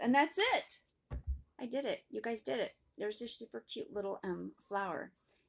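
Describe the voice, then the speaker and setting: Music can be heard behind the speaker. The talking proceeds at a moderate pace. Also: woman. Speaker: craft teacher. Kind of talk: tutorial. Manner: animated.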